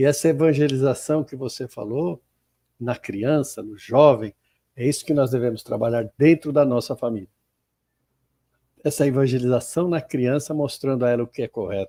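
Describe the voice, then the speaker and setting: Speaking at a moderate pace with long, frequent pauses, a man with a medium-pitched, dark, mellow voice shows ordinary pitch variation in a dry, close sound with no echo. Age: 70s. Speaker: spiritist center host. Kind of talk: casual discussion. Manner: halting.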